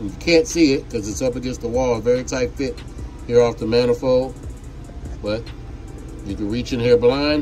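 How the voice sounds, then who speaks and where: Music plays behind a man speaking at medium pitch with fairly even intonation. He leaves long, frequent pauses. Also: moderate pace. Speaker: jet ski mechanic demonstrating a build. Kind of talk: tutorial. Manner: loud.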